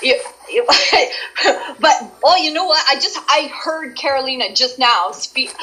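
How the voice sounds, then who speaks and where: Over noticeable background noise, a woman talks in a raised, projected voice at a moderate pace, her pitch swinging very widely. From Canada. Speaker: voice actress. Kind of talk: casual chat. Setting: live stream.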